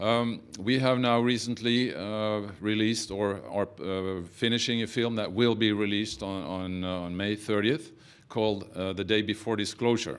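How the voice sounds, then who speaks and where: Delivered at a moderate pace with ordinary pitch variation, the speech comes in a Norwegian accent. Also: man. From Norway. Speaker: film producer. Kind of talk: press conference speech. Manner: halting, many fillers.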